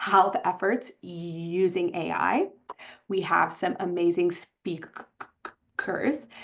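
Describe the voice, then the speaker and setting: A woman speaks with a fairly low pitch. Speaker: webinar organizer introducing the panel. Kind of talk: webinar opening remarks. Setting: online webinar. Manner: halting, repeated syllables.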